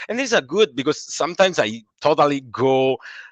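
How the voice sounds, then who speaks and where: A man with an Italian accent speaks at a fairly quick pace and fairly high pitch. The sound is dry and close, with no echo. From Italy. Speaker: comic book illustrator. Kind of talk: interview. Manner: halting, many false starts.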